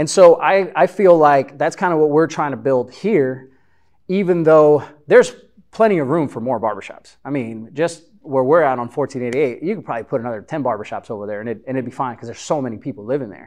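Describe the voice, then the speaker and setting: A man with an American accent talks at a very fast pace, with big swings in loudness. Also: lively intonation. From Chicago. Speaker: barbershop business owner. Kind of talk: live interview before audience. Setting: meeting room with audience.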